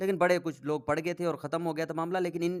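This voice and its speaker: This is a man speaking. His voice has a high pitch. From Pakistan, south Punjab. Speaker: prank caller. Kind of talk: interview answer.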